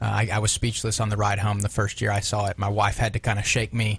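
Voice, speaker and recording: The speaker sounds somewhat breathy, with a Southern US accent. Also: man. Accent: Southern US, noticeable. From Alabama. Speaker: pastor. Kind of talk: radio interview. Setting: studio.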